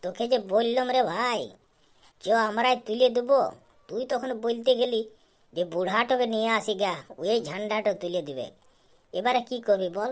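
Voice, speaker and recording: Using a cartoonish character voice, a woman speaks at a moderate pace and a fairly high pitch. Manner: rough, swearing, quick-talking.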